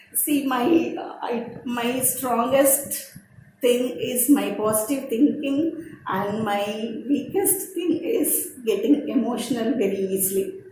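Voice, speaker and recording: Heard with audible room echo, a woman with a high pitch speaks at a very slow pace. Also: lively intonation. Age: 60s. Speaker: personal development speaker. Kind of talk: personal testimony presentation.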